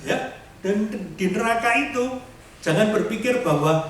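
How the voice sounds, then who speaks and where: The speech comes at a fairly slow pace, with noticeable background noise and audible room echo. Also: man. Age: 60s. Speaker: lay preacher. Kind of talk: sermon.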